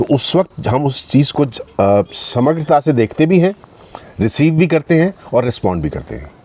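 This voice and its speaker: With lively intonation, a man at a fairly high pitch speaks at a moderate pace. The sound is dry and close with no echo, though noticeable background noise is present. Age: 60s. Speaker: actor. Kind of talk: casual chat. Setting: outdoors.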